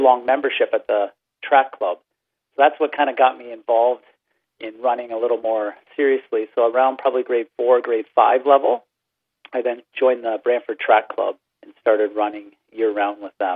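This man has a plain, everyday voice at a medium pitch, with a Canadian accent. His pace is moderate. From Ontario, Canada. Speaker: teacher. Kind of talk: interview.

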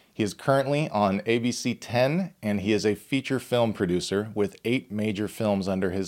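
A man's fairly low voice with ordinary pitch variation, an ordinary speaking voice. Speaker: podcast host. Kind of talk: casual podcast interview.

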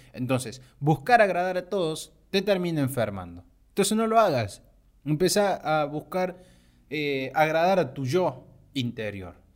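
In a very clean recording with a silent background, a man speaks at a fairly slow pace. His voice is fairly high-pitched and swings very widely in pitch. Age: 20s. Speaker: podcaster, animation student. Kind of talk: motivational monologue.

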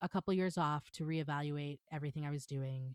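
A woman with an American accent talks at a fairly quick pace in a plain, everyday voice, with ordinary pitch variation. The recording is very clean, with a silent background and a dry, close sound with no echo. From New York, Long Island. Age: 40s. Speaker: stage manager. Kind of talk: casual interview.

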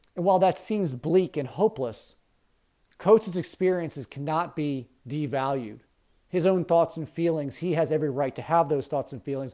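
A man with an American accent speaks at a moderate pace in a fairly high pitch, his tone dark and mellow and his pitch varying in an ordinary way, on a very clean recording with a silent background. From US, Baltimore County, Maryland. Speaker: teacher. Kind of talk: lecture.

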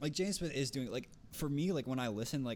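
This is a man speaking. He has a North Jersey accent. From North Jersey, US. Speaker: podcast co-host. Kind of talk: casual chat.

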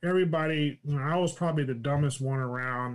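This man has an American accent and a fairly high pitch. He talks at a fairly quick pace with ordinary pitch variation. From California. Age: 60s. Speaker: retired NASA executive. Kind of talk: casual interview chat. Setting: live stream.

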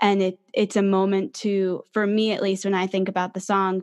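Over a quiet background, a woman talks at a moderate pace in a normal speaking voice. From New Jersey, near New York City. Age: 20s. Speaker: singer-songwriter. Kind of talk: casual interview.

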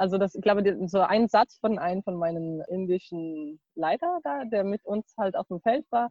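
Her intonation is lively. The woman speaks at a medium pitch. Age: 20s. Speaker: university student and former volunteer. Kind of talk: interview. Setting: video call, outdoors in garden. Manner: hesitant, many fillers.

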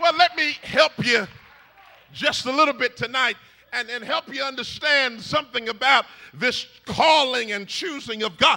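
A man's voice is raised and projected, extremely high in pitch, with ordinary pitch variation. He sounds animated and moves at a moderate pace. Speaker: preacher. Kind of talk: sermon. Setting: church with congregation. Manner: call-and-response, rousing, fervent; animated, exhorting the congregation.

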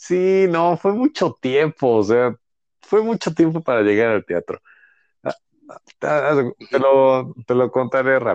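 At a very slow pace, a man speaks with a fairly high pitch and lively intonation. The sound is dry and close with no echo. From Mexico City. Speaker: actor and writer. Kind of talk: casual chat.

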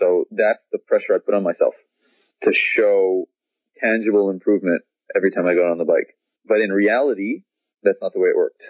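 Fairly quick delivery broken up by long, frequent pauses. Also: man. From Canada, Montreal. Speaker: professional cyclist. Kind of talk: interview.

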